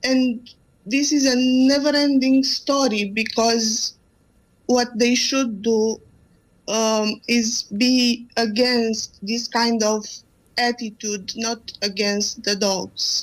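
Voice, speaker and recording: In a very clean recording with a silent background, a woman with a Romanian accent speaks very slowly at a fairly high pitch with fairly even intonation. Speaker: animal rescue volunteer. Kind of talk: radio interview. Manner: halting.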